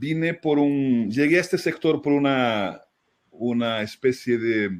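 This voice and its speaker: A man at a medium pitch, very slow, with lively intonation and very even loudness. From Brazil. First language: Portuguese (speaking Spanish). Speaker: fundraising consultant, writer. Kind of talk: webinar conversation. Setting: online webinar.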